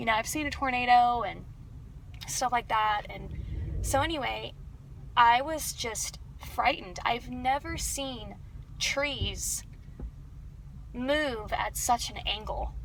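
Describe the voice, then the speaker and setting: A woman with an American accent at a very slow pace, with long, frequent pauses, big swings in loudness and noticeable background noise. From Texas, Dallas. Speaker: vlogger. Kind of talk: casual vlog talk. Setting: in a car.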